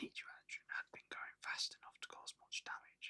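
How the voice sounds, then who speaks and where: A man whispering at a moderate pace, the sound dry and close with no echo. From UK. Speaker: ASMR artist. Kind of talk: ASMR whispered story reading. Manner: whispered, soft-spoken.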